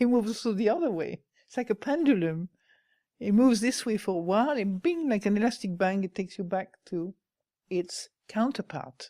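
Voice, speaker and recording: A woman's medium-pitched voice with a French accent, dark and mellow in tone, at a fairly quick pace, dry and close with no echo, on a very clean recording with a silent background. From France. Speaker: Buddhist nun, meditation teacher. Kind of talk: dharma talk.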